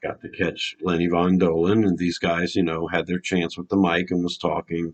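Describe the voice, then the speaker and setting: With a Louisiana accent, a man speaks in a very deep, low pitch and a monotone, flat intonation. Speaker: fan video host. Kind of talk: casual vlog storytelling.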